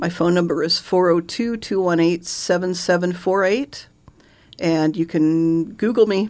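A woman's fairly low-pitched, fairly slow delivery in a plain, everyday voice. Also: ordinary pitch variation. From Omaha, Nebraska (Benson neighborhood). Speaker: realtor. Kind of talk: interview. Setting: radio studio.

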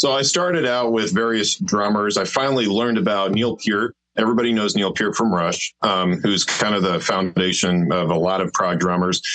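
With a plain, everyday voice, a man talks at a moderate pace with hardly any pauses. His pitch is fairly low and varies in an ordinary way. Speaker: drummer and orchestrator in band. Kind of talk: casual interview chat.

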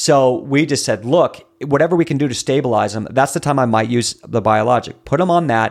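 At a fairly quick pace and with hardly any pauses, a man speaks in an animated tone at a medium pitch with ordinary pitch variation, on a very clean recording with a silent background. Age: 30s. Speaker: natural health coach for bowel disease. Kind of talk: interview.

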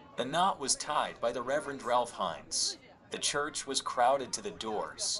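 Moderate-paced speech from a man amid noticeable background noise. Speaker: reader of historical text. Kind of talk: reading aloud.

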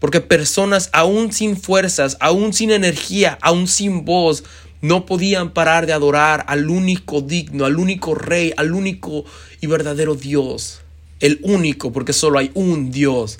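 Very slow speech from a man at a fairly high pitch, with ordinary pitch variation. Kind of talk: personal reflection monologue.

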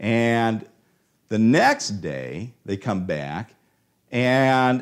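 A man with a Midwestern American accent on a very clean recording with a silent background. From Ohio, US. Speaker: preacher. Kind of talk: sermon.

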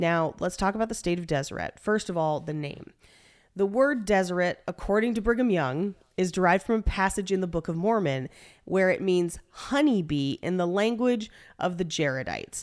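Here is a woman with an unremarkable speaking voice, medium in pitch, with lively intonation at a moderate pace. The recording is very clean, and the background is silent. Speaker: podcast host. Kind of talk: casual comedic banter with scripted history narration. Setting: home recording space, echoey room. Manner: jokey, casual.

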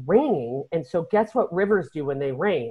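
A woman with an American accent talks at a moderate pace, her pitch swinging very widely. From Chicago northern suburbs, US Midwest. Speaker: podcast host, travel agent. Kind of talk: casual chat.

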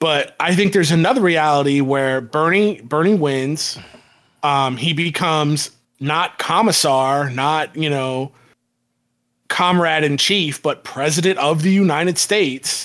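A man with an American accent and a plain, everyday voice speaks at a fairly slow pace and fairly high pitch, with ordinary pitch variation and very even loudness. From Florida, Tampa Bay area. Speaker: podcast co-host. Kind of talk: casual chat.

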